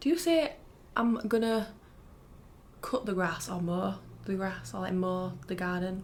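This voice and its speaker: A fairly slow pace in a northern English accent. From northern England. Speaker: ASMR creator. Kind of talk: casual chat.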